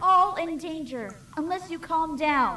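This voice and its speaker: A female-sounding, put-on character voice goes extremely high in pitch and moves at a fairly slow pace. Clear background noise runs underneath. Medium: read story.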